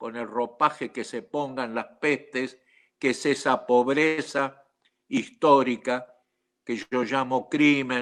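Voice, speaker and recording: The delivery is very slow, in a monotone with flat intonation. The recording is very clean, with a silent background. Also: man, medium pitch for a man. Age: 80s+. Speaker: panelist. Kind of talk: reflective panel talk.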